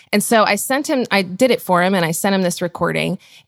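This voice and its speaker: An ordinary speaking voice with ordinary pitch variation comes through dry and close with no echo, in a very clean recording with a silent background. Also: woman. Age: 30s. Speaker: conference founder and podcast host. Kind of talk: casual chat.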